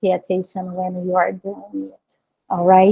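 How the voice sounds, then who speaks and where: With a Portuguese accent, a woman speaks at a medium pitch in a dark, mellow tone, the sound dry and close with no echo. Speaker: designer and author. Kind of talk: conference talk. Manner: halting.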